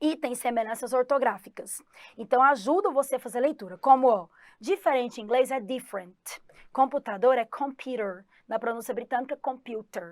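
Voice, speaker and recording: Delivery moves at a moderate pace. Pitch shifts in an ordinary way. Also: woman, high pitch for a woman. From Goiás, Brazil. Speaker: English teacher. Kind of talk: online exam-prep lesson. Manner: animated.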